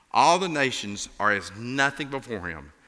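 A man speaks in an Appalachian accent. His tone is bright and sharp, with very wide pitch swings. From Appalachia, US. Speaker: pastor filling in. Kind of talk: sermon. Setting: church.

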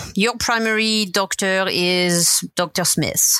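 A woman speaks with a French accent, a bright, sharp tone, and lively intonation. The recording is very clean with a silent background. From France, Brittany. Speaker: health systems engineer. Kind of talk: interview.

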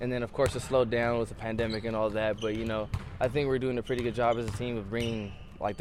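Talking at a very fast pace, a man of medium pitch keeps a monotone, flat intonation against noticeable background noise. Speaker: college basketball player. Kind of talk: radio interview. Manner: casual, filler-heavy.

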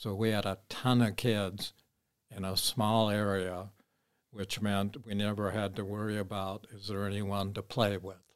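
This man speaks in an American accent at a fairly slow pace. His intonation is monotone and flat. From Minneapolis, Minnesota. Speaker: retiree telling his life story. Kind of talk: storytelling in family chat.

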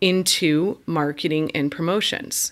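An unremarkable speaking voice from a woman with an American accent, fairly low in pitch, fairly slow, with ordinary pitch variation, on a very clean recording with a silent background. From Indiana. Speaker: business coach. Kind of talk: interview.

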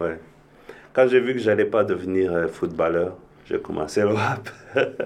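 Man at a fairly slow pace with long, frequent pauses. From Rwanda. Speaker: musician and multi-disciplinary artist. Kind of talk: casual interview chat.

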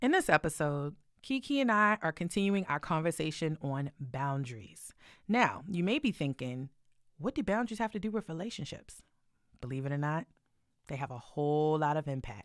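A woman speaks with a very deep, low pitch and very wide pitch swings in an animated tone, on a very clean recording with a silent background. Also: moderate pace. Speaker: podcast co-host. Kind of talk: casual chat; scripted intro. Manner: loud.

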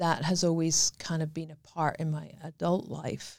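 A woman's fairly low voice with a Scottish accent at a fairly slow pace. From Scotland. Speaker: domestic violence survivor and charity ambassador. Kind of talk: interview testimony.

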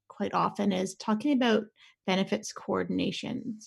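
A somewhat breathy voice with a Canadian accent at a moderate pace, on a very clean recording with a silent background. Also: woman. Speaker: insurance broker. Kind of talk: informational podcast discussion.

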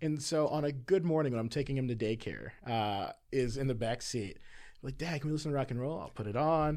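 This man has an ordinary speaking voice, medium in pitch for a man, and talks at a fairly quick pace. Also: ordinary pitch variation. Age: 30s. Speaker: pastor. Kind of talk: casual chat.

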